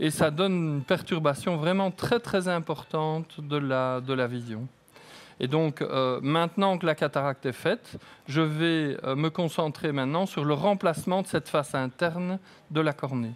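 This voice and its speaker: Speech comes at a fairly slow pace. Pitch variation is ordinary. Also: man, fairly high pitch for a man. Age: 60s. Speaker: eye surgeon. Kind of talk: live surgery commentary. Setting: operating room, live broadcast.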